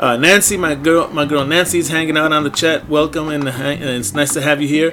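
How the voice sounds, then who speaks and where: Over noticeable background noise, a man with a warm tone and a fairly high pitch speaks at a moderate pace. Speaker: radio DJ. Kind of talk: radio show hosting, upbeat DJ patter with event announcements. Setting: internet radio studio. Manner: animated, energetic, enthusiastic; casual, warm, catchphrase-heavy, bilingual English and Spanish.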